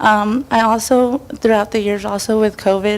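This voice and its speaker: Moderate pace with a Spanish accent. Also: woman. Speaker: parent giving public comment. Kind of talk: public comment at school board meeting. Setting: public board meeting. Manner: halting.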